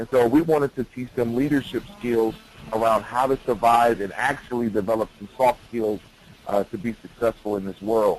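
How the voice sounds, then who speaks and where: Against noticeable background noise, a man with an American accent speaks at a moderate pace and medium pitch, his intonation fairly even. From Detroit, Michigan. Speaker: youth leadership educator. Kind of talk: webinar presentation.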